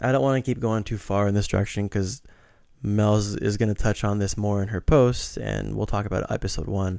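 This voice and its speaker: With an ordinary speaking voice, a man speaks at a fairly quick pace in a fairly low pitch with fairly even intonation, on a very clean recording with a silent background. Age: 30s. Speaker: podcast host and teacher. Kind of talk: casual monologue.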